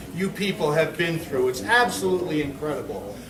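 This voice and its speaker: A man talks loudly amid noticeable background noise. Audible room echo surrounds his voice. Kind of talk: public speech. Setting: lodge hall with audience. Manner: halting.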